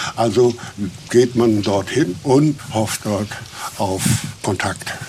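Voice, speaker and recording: A man's medium-pitched voice at a very slow pace, with fairly even intonation and noticeable background noise. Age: 70s. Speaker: national park ranger. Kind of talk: guided nature tour. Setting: outdoors. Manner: calm, unhurried.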